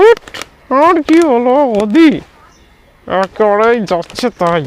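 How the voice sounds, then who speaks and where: In a cartoonish character voice, a man speaks at an extremely high pitch and a fairly slow pace. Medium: puppet.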